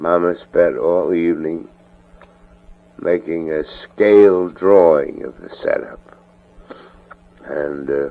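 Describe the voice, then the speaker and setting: A man speaking very slowly amid noticeable background noise. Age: 60s. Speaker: family member recording a personal audio letter. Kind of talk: spoken audio letter. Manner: casual, hesitant with frequent fillers.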